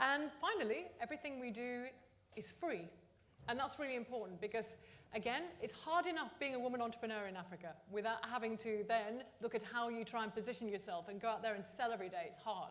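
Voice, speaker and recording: With a London accent, a woman talks very fast in a fairly high voice with lively intonation. Audible room echo and noticeable background noise are present. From London, England. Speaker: entrepreneur network founder. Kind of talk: speech. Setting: stage with audience.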